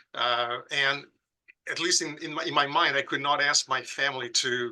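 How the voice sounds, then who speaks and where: A man speaks with a Brazilian accent. His pace is fairly slow. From southern Brazil, Porto Alegre. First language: Portuguese. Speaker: pediatric critical care professor. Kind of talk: podcast interview. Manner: halting with frequent repetitions.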